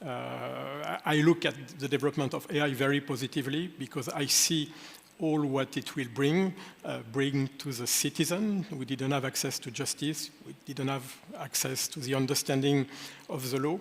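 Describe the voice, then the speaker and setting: Ordinary pitch variation marks the speech, which holds a moderate pace. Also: man. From France. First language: French. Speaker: lawyer. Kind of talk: panel discussion. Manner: hesitant, many fillers.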